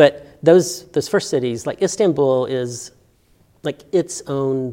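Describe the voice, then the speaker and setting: Very slowly and in a dark, mellow tone, a man with a Southern US accent speaks with ordinary pitch variation. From Alabama, Birmingham. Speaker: art professor. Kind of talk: interview.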